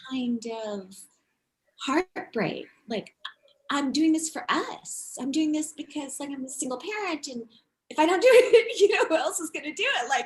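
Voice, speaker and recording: A woman speaks in a high voice at a moderate pace. Her pitch swings very widely and her loudness rises and falls a lot. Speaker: unschooling parent and traveler. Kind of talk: casual interview. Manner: animated.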